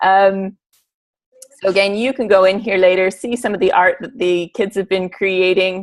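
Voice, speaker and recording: A woman with an unremarkable speaking voice talks at a moderate pace. Her medium pitch carries fairly even intonation. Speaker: teacher. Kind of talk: presentation.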